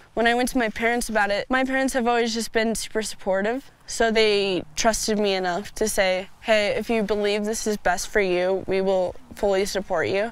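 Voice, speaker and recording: Speaking with an American accent and hardly any pauses, a woman has an unremarkable speaking voice, fairly high in pitch with fairly even intonation. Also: moderate pace. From United States (adopted from Russia at age two). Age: young (18). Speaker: para athlete. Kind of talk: interview.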